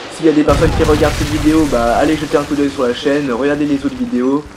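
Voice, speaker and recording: Noticeable noise sits behind speech delivered at a moderate pace. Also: man. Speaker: gaming youtuber. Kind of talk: gameplay commentary. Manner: hesitant, many fillers.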